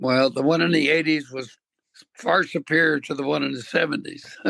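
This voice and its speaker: The voice has a bright, sharp tone with vocal fry, fairly even intonation and a moderate pace, heard in a dry, close sound with no echo. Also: man. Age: 80s+. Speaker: veterinarian. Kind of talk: interview answer.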